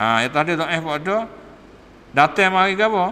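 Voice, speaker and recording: Amid noticeable background noise and audible room echo, a man with a Patani accent speaks at a moderate pace with lively intonation. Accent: Patani Malay (Kelantan-Patani dialect). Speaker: religious teacher. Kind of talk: religious lecture. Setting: mosque. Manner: casual, conversational.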